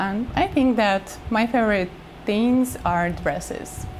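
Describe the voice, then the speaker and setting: Over noticeable background noise, a woman with a non-native accent speaks at a very slow pace, her fairly high pitch carrying lively intonation. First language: not English. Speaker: model. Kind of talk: interview. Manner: halting.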